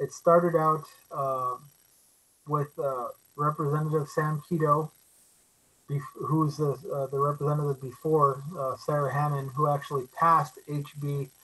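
At a fairly slow pace, a man speaks with a bright, sharp tone and a fairly high pitch. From Alaska. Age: 30s. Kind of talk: presentation. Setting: video call.

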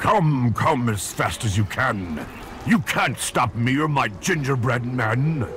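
A man puts on a character voice at a medium pitch and a fairly slow pace, with clear background noise behind him. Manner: menacing.

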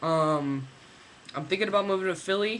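A man talks at a moderate pace against light background noise. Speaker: vlogger. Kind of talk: video diary. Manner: rambling, halting with fillers. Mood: relaxed, reflective. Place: home room. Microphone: webcam.

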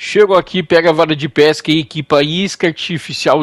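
The recording is very clean with a silent background and a dry, close sound with no echo. A man talks in an animated tone at a fairly high pitch, keeping a moderate pace and ordinary pitch variation. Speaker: gaming YouTuber. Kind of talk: game tutorial.

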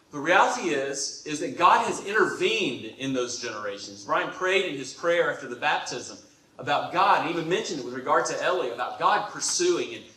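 Through strong room echo, a man talks with few pauses, lively intonation, a fairly high pitch, and a bright, sharp tone. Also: moderate pace.

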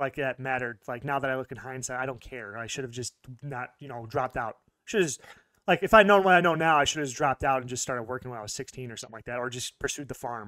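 A man's medium-pitched voice with an American accent, bright and sharp in tone, very fast, with ordinary pitch variation, big swings in loudness, and a dry, echo-free sound over a quiet background. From US. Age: 30s. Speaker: YouTuber. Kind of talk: personal story monologue. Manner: halting; casual, rambling delivery. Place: home room. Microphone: studio mic.

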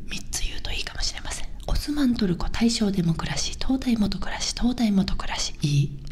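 A woman whispering, soft-spoken and fairly quick, over light background noise. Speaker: comedian and video host. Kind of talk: ASMR whispered wordplay video. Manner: whispering, soft-spoken, casual. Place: home room. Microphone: studio mic.

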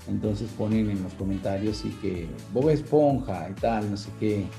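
With clear music in the background, a man talks at a fairly slow pace in a fairly low pitch. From Venezuela. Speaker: voice actor. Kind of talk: interview answer. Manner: casual, conversational. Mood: relaxed, reflective. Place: home room. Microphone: video call.

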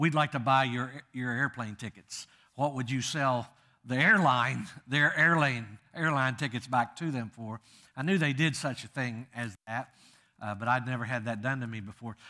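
A bright, sharp tone at a moderate pace, with ordinary pitch variation and a quiet background. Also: man. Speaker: guest preacher. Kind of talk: sermon. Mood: humorous, warm storytelling. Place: church.

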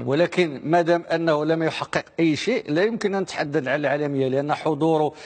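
The speaker is a man. He goes at a moderate pace with ordinary pitch variation. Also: quiet background. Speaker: guest, football analyst. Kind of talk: interview answer. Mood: argumentative, opinionated. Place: studio. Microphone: lapel.

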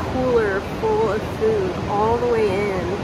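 Loud background noise around a woman speaking very slowly, in a dry sound with no echo. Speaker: travel vlogger. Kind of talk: casual vlog chat. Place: tunnel cave. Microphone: phone near.

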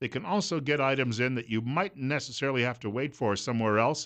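Here a man talks at a fairly quick pace with lively intonation. The background is quiet. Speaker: radio talk show host. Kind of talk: radio host talk and ad read. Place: studio. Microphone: studio mic.

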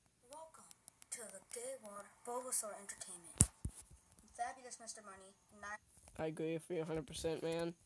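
A woman speaks at a moderate pace with medium pitch and lively intonation, her loudness swinging widely, with long, frequent pauses and noticeable background noise. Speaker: gaming YouTuber. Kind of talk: casual vlog. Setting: home recording with headphones. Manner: stutters when tired; rambling, casual.

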